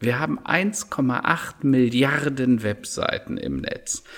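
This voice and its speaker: A man's voice over noticeable background noise. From Rhineland, Germany. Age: 50s. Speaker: digital strategy consultant and keynote speaker. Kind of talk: podcast interview.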